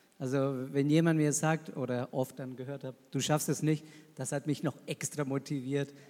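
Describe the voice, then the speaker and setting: A man with a Spanish accent talks at a fairly high pitch. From Argentina. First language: Spanish (speaking German). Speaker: missionary pastor. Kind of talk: panel discussion.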